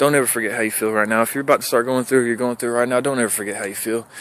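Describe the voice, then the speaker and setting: The man's pitch is medium. He delivers his words at a very fast pace. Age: 30s. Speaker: recovering addict vlogger. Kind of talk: personal testimony vlog. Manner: animated.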